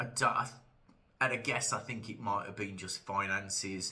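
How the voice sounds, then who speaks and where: Audible room echo surrounds a man with a British accent and a bright, sharp tone. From UK. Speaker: wrestling commentator YouTuber. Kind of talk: casual monologue vlog. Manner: hesitant, many fillers.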